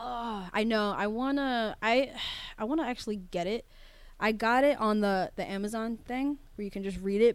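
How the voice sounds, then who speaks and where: A woman talks at a moderate pace in a normal speaking voice, pitched fairly high with ordinary variation. The recording is very clean, with a silent background. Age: 20s. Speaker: podcast co-host. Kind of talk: casual chat.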